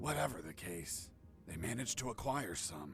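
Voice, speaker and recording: A man puts on a raspy character voice, very deep and low in pitch, swinging very widely up and down at a moderate pace over clear background noise. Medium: video game. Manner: dry, sardonic.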